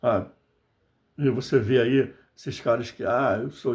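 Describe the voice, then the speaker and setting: A man with a medium pitch and fairly even intonation. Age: 60s. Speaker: political commentator, video blogger. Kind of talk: political monologue to camera. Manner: impassioned, conversational.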